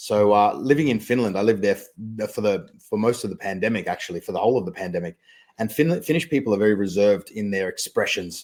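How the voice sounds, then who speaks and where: Talking at a very fast pace, a man with a fairly low pitch shows ordinary pitch variation on a very clean recording with a silent background. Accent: slight Australian. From Australia. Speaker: magician and mentalist. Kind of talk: podcast interview. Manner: clear and concise.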